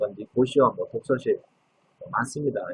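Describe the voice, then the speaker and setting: A man is speaking. His pace is very fast. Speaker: legal scrivener. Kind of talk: lecture. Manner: frequent filler 'uh' hesitations.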